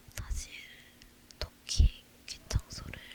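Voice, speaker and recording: Whispering over noticeable background noise. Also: woman. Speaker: ASMR creator. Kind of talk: talking ASMR, casual chatty talk to viewers. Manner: soft, whispered.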